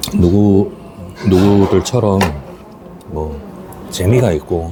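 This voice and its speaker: A man talks quietly at a very slow pace, his pitch fairly low with ordinary variation. There is noticeable background noise. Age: 40s. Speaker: taxi driver. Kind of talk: casual eating vlog talk to camera.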